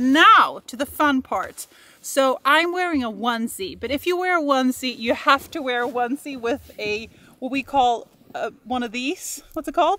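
A woman uses a raised, projected voice with a bright, sharp tone and ordinary pitch variation. The sound is dry, with no echo. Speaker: travel vlogger. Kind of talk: casual vlog chat. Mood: playful, laughing. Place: open country.

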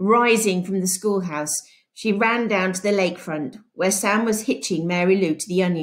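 The recording carries a natural reading voice.

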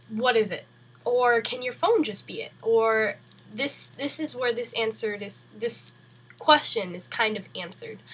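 A woman speaks at a fairly slow pace in a fairly high pitch with ordinary pitch variation, over noticeable background noise. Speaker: vlogger. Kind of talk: casual tech review vlog. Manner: chatty, informal with fillers.

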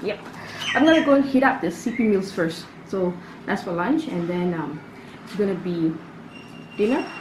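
Noticeable background noise runs under a woman speaking at a fairly low pitch. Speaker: food vlogger. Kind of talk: casual vlog chat. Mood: cheerful, upbeat. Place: home room. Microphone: camera far.

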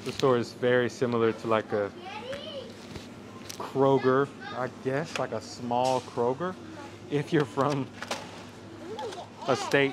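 With crowd noise in the background, a man speaks at a fairly slow pace, taking long, frequent pauses. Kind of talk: casual vlog chat. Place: shop.

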